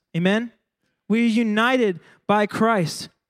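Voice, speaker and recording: A man is speaking. His pace is fairly slow. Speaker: worship pastor. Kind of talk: sermon. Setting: church.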